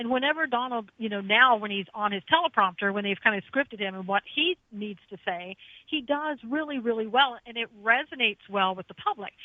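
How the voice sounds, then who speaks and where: An ordinary speaking voice with an American accent moves at a fairly quick pace with hardly any pauses, lively intonation and big swings in loudness. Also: woman, fairly high pitch for a woman. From US East Coast. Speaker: radio host and former attorney, guest. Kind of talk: radio talk show discussion.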